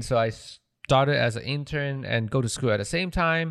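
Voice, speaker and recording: A man with a Malaysian accent, at a moderate pace and fairly high pitch with ordinary pitch variation, on a very clean recording with a silent background. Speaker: audio engineer and podcast producer. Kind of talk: casual interview chat. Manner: halting, with fillers and repeated words.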